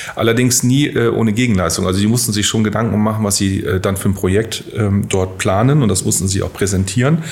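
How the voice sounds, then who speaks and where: A man's fairly low voice at a very fast pace, with hardly any pauses, ordinary pitch variation and very even loudness, plus audible room echo and noticeable background noise. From northern Germany, near Bremen. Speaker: bank executive. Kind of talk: interview. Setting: studio.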